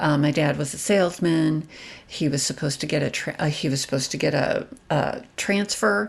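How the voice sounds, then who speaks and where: Over a quiet background, a woman with a very deep, low pitch and vocal fry speaks at a moderate pace. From US Midwest, Chicago. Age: 60s. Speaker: personal finance YouTuber. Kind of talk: personal storytelling monologue. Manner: hesitant, with many fillers.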